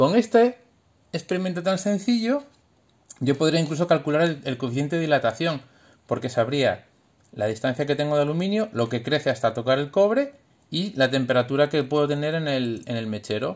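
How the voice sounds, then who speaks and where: Against a quiet background, a man with a fairly high pitch speaks at a fairly quick pace, with lively intonation and an animated tone. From Spain. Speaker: engineer parent explaining science to his children. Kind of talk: home science demonstration for kids. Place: home room. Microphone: phone near.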